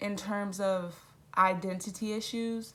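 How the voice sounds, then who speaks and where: The delivery moves at a very slow pace. Intonation stays fairly even throughout. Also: woman. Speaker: youtuber. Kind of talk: casual Q&A vlog. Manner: casual, filler-heavy.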